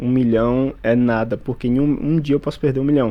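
This is a man with a plain, everyday voice and a medium pitch. His pitch varies in an ordinary way as he talks at a moderate pace. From Bahia, Brazil (Feira de Santana). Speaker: police officer and day trader. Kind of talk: interview testimony.

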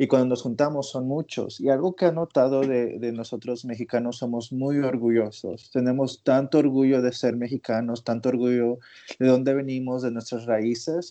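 The speaker keeps a moderate pace with hardly any pauses, using fairly even intonation and a dark, mellow tone. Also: man, medium pitch for a man. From Mexico. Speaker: coworker of the host. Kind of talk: casual chat.

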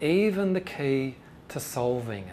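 In an Australian accent, a man talks at a fairly high pitch with ordinary pitch variation. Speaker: UFO researcher. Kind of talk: lecture. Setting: stage with audience.

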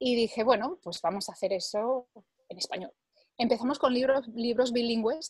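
The speech comes at a moderate pace with ordinary pitch variation, in a dry, close sound with no echo. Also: woman, high pitch for a woman. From Spain, Barcelona. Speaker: language learning product creator. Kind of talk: interview.

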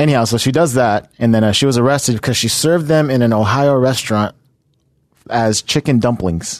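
A man speaks in a plain, everyday voice. His pitch is medium and his pace fairly quick. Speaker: podcast co-host. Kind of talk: casual chat. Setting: studio.

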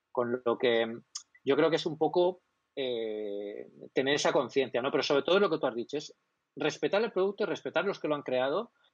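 This man talks at a moderate pace in a fairly high pitch with lively intonation. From Spain, Alicante province. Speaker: tech blog director. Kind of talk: casual interview chat. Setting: live stream. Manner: fluent, communicator.

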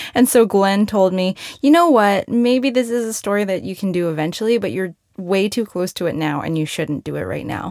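A woman with an American accent speaks at a fairly quick pace. It is an ordinary speaking voice with lively intonation. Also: medium pitch for a woman. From United States, moved from Malaysia at three. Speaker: radio reporter and author. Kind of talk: casual interview; personal essay narration and interview.

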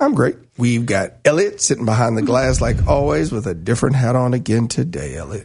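With vocal fry, a man speaks at a fairly quick pace and swings very widely in pitch. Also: medium pitch for a man. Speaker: radio host. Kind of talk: live sports talk radio banter, bright and chatty. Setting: radio studio.

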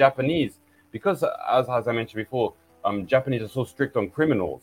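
Using lively intonation, a man with an English accent and medium pitch talks at a fairly quick pace. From England. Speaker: film distributor. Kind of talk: interview. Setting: video call.

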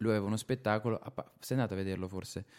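A man talks with an unremarkable speaking voice at medium pitch and fairly even intonation. The recording is very clean, with a silent background. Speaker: stand-up comedian. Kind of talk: casual chat. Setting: at the host's home.

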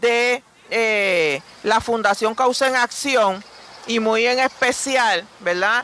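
The speech moves at a very slow pace. There is noticeable background noise. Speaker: foundation representative. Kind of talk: radio interview.

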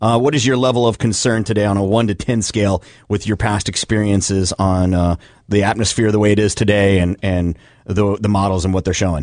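A man talks in a normal speaking voice at a fairly low pitch and a fairly quick pace. His loudness stays very even against a quiet background. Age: 40s. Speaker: morning radio show host. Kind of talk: morning radio show banter and interviews; radio dj patter, rapid-fire segment wrap-up. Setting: radio studio. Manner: brisk, upbeat announcer delivery.

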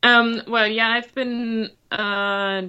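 A very slow delivery in a German accent. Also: woman. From Germany. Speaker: event rider. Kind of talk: interview. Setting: remote call. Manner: hesitant.

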